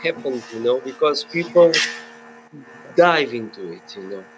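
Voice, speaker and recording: Speaking with a Portuguese accent at a moderate pace, a man makes very wide pitch swings and long, frequent pauses over noticeable background noise. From Portugal. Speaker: filmmaker. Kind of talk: webinar panel discussion. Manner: halting.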